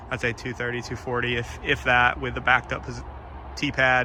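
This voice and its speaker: Noticeable background noise surrounds a man who speaks at a fairly quick pace. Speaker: disc golfer showing a new course. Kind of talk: casual walkthrough vlog. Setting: outdoors in the woods.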